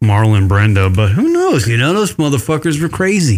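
Fairly quick talk from a man, medium in pitch, an unremarkable speaking voice. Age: 40s. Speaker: podcast co-host. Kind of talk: casual chat. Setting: studio.

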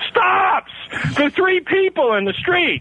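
Noticeable background noise accompanies a man whose pitch makes very wide swings. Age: 40s. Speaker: caller. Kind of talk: casual chat. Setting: phone call.

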